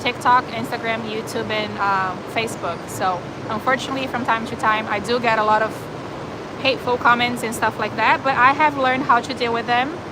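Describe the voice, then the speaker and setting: Audible room echo and noticeable background noise surround a woman with a slight Brazilian accent who talks at a fairly quick pace and a fairly high pitch, her intonation fairly even. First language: Portuguese. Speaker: animal shelter volunteer and live streamer. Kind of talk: live stream chat reading viewer comments. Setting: animal shelter. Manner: casual, with hesitations and fillers.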